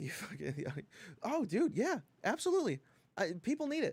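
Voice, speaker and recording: A man is speaking. His pitch swings very widely. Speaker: gaming streamer. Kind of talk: casual chat. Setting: live stream. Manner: loud.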